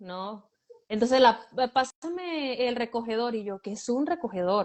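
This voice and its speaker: Her voice fairly high, a woman speaks at a fairly slow pace with lively intonation and big swings in loudness. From Venezuela. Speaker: guest, runs a shelter for girls. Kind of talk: interview.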